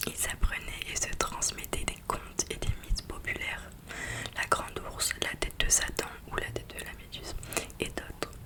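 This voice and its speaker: Someone is whispering at a moderate pace against noticeable background noise. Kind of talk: book reading. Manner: whispered.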